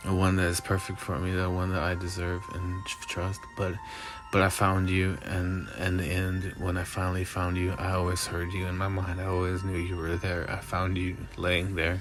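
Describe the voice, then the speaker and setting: Over music in the background and audible room echo, the voice runs at a moderate pace in a flat monotone. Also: man, very deep, low pitch for a man. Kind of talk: improvised spoken-word monologue. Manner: halting.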